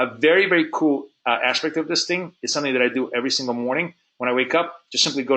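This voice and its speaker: With ordinary pitch variation, this man talks at a medium pitch. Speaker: forex trading instructor. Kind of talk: webinar lesson. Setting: online webinar. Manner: fast; halting, many fillers and repeats.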